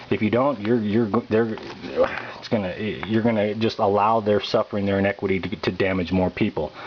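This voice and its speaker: A man with an American accent, fairly quick and fairly even in intonation, over noticeable background noise. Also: fairly low pitch for a man. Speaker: political activist pamphleteer. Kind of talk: political monologue. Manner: fast; halting, repeats words.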